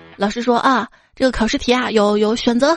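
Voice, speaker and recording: A woman speaks in an animated tone at a moderate pace against a quiet background. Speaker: podcast host. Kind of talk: reading jokes aloud. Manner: animated, laughs often.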